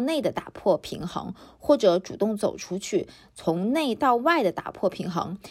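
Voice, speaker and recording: A plain, everyday voice from a woman at medium pitch, with lively intonation and a moderate pace. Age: 30s. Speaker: podcast host. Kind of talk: solo podcast monologue. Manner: casual, conversational.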